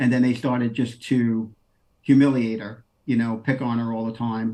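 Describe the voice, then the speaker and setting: A man with a New York accent talks with fairly even intonation. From New York City, Queens. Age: 50s. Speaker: former deputy US marshal. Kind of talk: interview.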